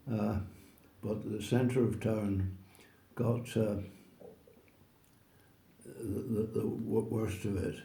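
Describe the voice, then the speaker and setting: A man with fairly low pitch, a dark, mellow tone and vocal fry, fairly even intonation and a very slow pace with long, frequent pauses. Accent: Northern Irish. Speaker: oral history interviewee. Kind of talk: interview answer.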